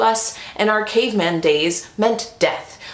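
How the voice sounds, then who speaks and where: Loud and animated, a woman speaks amid noticeable background noise with audible room echo. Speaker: lifestyle vlogger. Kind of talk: casual chat.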